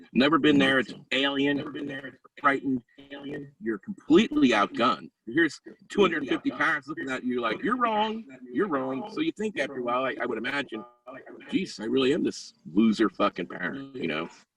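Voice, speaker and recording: The speaker's pitch swings very widely at a fairly quick pace. The sound is dry and close with no echo, and music plays in the background. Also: man, fairly high pitch for a man. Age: 50s. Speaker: survivor of a teen treatment program. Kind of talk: testimony. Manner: animated.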